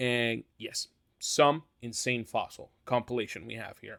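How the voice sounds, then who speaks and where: A man with a non-native accent is heard in a very clean recording with a silent background. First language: not English. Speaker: YouTuber ranking dinosaurs. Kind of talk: casual tier-list commentary. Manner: halting, many fillers.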